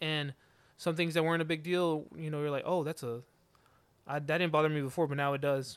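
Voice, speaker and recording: A man's ordinary speaking voice, fairly high in pitch, fairly even in intonation, at a fairly quick pace, on a very clean recording with a silent background. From Georgia, US (Mexican-American family). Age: 20s. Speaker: podcast host. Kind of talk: casual chat.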